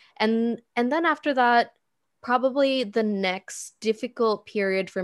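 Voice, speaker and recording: A woman speaks at a fairly slow pace with ordinary pitch variation against a quiet background. It is a plain, everyday voice. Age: 20s. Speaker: marketing coordinator and freelance designer. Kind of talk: interview conversation.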